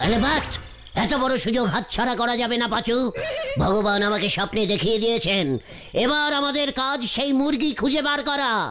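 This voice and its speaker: Using a cartoonish character voice, a man speaks at an extremely high pitch in a raised, projected voice, holding a very even loudness at a moderate pace with clear background noise. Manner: pompous, stumbling over words.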